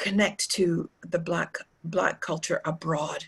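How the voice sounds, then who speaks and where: A woman speaks at a very slow pace with a Canadian accent. Her voice is somewhat breathy. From Canada. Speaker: tour guide. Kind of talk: interview. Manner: halting, many fillers and repeats.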